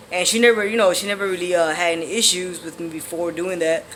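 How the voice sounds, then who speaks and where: The speaker moves at a fairly quick pace with fairly even intonation. Noticeable background noise is present. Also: man. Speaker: vlogger sharing transition updates. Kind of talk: casual vlog monologue. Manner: hesitant, many fillers.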